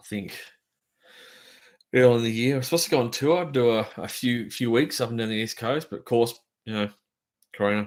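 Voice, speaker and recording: On a very clean recording with a silent background, a man with an Australian accent speaks at a fairly quick pace and medium pitch, with ordinary pitch variation and long, frequent pauses. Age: 40s. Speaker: drummer. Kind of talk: casual chat. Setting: live stream from home.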